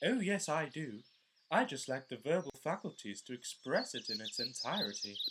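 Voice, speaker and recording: A cartoonish character voice at a middle pitch and moderate pace, with very wide pitch swings. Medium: puppet show. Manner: whiny, blunt.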